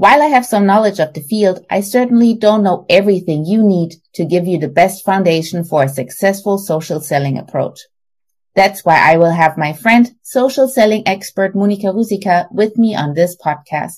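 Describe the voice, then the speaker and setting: Somewhat breathy and at medium pitch, a woman with a German accent speaks at a moderate pace with lively intonation. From Germany. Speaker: podcast host. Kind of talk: scripted narration.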